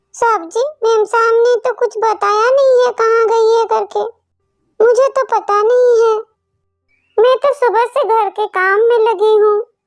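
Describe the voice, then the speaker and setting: A woman's cartoonish character voice, extremely high in pitch, monotone and flat, at a moderate pace with very even loudness. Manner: sweet-tongued and cunning.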